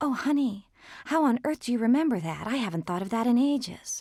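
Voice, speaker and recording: In a put-on character voice, a woman speaks squeaky and high-pitched at a fairly quick pace with lively intonation, captured on a very clean recording with a silent background. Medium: read story. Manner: evasive, prim.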